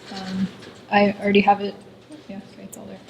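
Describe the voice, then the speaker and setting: Amid noticeable background noise, a soft-spoken woman talks at a medium pitch. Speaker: coding workshop instructor. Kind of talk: lecture.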